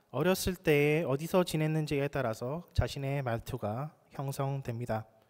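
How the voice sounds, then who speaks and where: A man with a fairly high voice speaks at a fairly slow pace on a very clean recording with a silent background. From South Korea, Busan. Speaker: pastor. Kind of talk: sermon.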